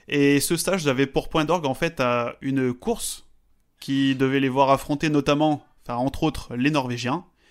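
The voice is a normal speaking voice at a moderate pace with fairly even intonation. It is a very clean recording with a silent background. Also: man, fairly high pitch for a man. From French mountains. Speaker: podcast co-host, statistics. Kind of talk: casual chat.

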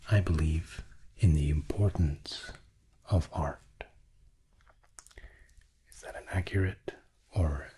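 Soft-spoken and somewhat breathy, a man talks in a very deep, low pitch with a dark, mellow, soothing tone and fairly even intonation over light background noise. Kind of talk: calm reflective talk to camera. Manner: soft, slow, soothing ASMR voice. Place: home room.

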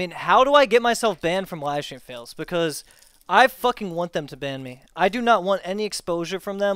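With an American accent, a man talks at a moderate pace and with lively intonation. The background is quiet and the sound is dry with no echo. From US, Maryland. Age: 20s. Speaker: streamer. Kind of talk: casual chat. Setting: live stream with voice chat. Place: home room. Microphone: headset.

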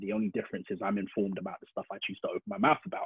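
A man speaks at a very fast pace, the sound dry with no echo and the background quiet. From London, England. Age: 30s. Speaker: illustrator; podcast guest. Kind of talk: casual interview. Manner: energetic. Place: home room.

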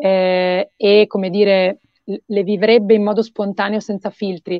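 A woman talks at a fairly slow pace in a monotone, flat intonation. The sound is dry with no echo. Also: quiet background. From northern Italy, Mantua; northern Italy. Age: young. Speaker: singer-songwriter; guest. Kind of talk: interview. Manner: halting, many fillers. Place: home room. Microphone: video call.

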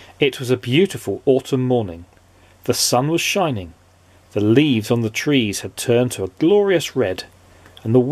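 Plain reading aloud is carried by lively intonation.

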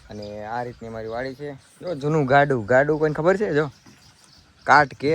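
The man's medium-pitched voice rises and falls with ordinary variation. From Gujarat, India. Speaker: vlogger. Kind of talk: casual vlog tour. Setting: outdoors on family farm. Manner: animated.

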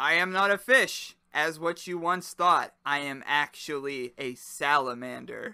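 In a put-on character voice, a man talks at a fairly slow pace and a fairly high pitch, captured in a very clean recording with a silent background. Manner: exclaiming.

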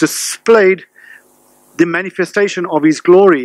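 Against a quiet background with a dry sound and no echo, a man speaks at a moderate pace in a high pitch with ordinary pitch variation. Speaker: pastor. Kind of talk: sermon. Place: church. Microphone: podium.

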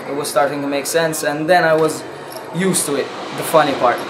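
There is noticeable background noise. A man is talking. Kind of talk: interview answer. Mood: pleased, relaxed.

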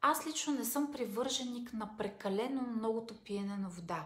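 Audible room echo accompanies a woman speaking at a moderate pace. Her voice is high, with ordinary pitch variation. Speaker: self-help vlogger. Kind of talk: casual advice talk. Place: home room. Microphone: phone near.

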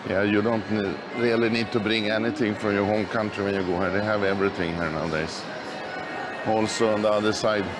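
Background music is playing. Over it, a man talks fairly quickly. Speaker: tourist vlogger. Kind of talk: casual walking tour commentary. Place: shop. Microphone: phone near.

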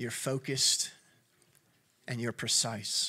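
This man's voice has a bright, sharp tone. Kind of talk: opening prayer. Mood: calm, reverent. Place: stage. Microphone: handheld.

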